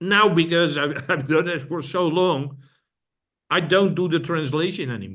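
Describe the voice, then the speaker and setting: In a Dutch accent, a man talks at a moderate pace with a fairly high pitch, a bright, sharp tone and ordinary pitch variation, with audible room echo around him. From Netherlands. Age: old. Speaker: brain fitness trainer. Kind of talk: interview conversation. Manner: halting, repeats words.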